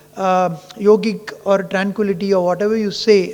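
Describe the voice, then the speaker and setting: A man with a high pitch and fairly even intonation is heard through noticeable background noise. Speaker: ophthalmologist. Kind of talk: conference talk.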